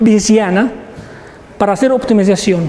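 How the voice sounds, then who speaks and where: A non-native accent with ordinary pitch variation, set against audible room echo and noticeable background noise. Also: man. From Egypt. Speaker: professor. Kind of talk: lecture. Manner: halting, many repetitions.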